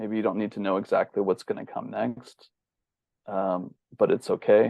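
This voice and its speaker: Soft-spoken, a man with an American accent talks at a moderate pace. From US West Coast, Bay Area. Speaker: bodyworker and holistic healer. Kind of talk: interview.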